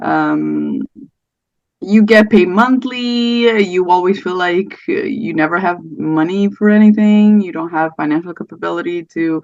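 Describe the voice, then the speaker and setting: A woman speaks at a fairly slow pace with a slight Portuguese accent. Her medium pitch moves with ordinary variation over a quiet background. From Portugal. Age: 30s. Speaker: podcast guest sharing miscarriage story. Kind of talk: casual interview chat. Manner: hesitant, many fillers.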